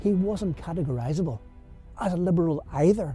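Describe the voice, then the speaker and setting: A fairly high-pitched man with a Belfast accent at a fairly quick pace, music in the background. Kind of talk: rhyming spoken word poem over music.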